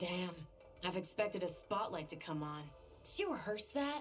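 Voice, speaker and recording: A woman's gruff, put-on character voice at medium pitch and a moderate pace, with clear background noise. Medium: video game. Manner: gruff, sarcastic.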